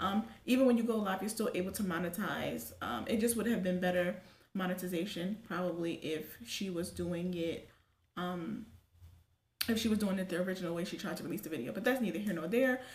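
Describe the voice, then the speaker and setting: A medium-pitched woman with an American accent, at a fairly quick pace with ordinary pitch variation and audible room echo. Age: 20s. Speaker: YouTube commentary vlogger. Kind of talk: casual commentary. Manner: fast.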